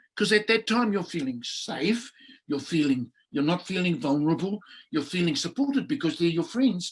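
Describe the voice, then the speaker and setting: The speaker has a New Zealand accent and talks at a moderate pace. Their pitch swings very widely. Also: man. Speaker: public speaking coach; Maori cultural expert. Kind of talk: workshop talk. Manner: energetic, charismatic.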